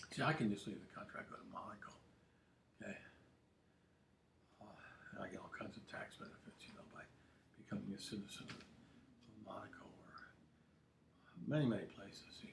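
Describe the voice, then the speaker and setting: Whispering at a fairly quick pace, a man leaves long, frequent pauses, his loudness swings widely, and room echo is audible. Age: 70s. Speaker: political commentator livestreamer. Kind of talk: casual livestream monologue. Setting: home studio livestream. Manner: halting, many repetitions.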